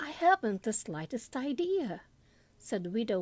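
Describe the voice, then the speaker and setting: With an American accent, a woman talks at a fairly slow pace, her pitch swinging very widely. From Southern US. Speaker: narrator. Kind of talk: audiobook story reading.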